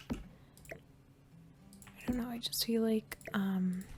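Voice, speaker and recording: The speaker is soft-spoken. The tone is calm. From Canada. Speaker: gaming YouTuber. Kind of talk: casual gameplay commentary. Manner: soft-spoken, calm; quiet.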